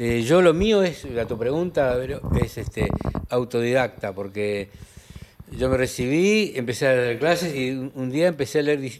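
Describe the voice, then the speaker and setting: With lively intonation and a fairly slow pace, a man talks while noticeable background noise carries on. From Argentina, Santiago del Estero. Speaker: linguist and language professor. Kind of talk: interview conversation.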